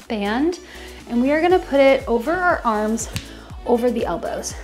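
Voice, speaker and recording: A woman talks at a moderate speed while music plays faintly behind her. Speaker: fitness instructor. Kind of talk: workout instruction. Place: kitchen.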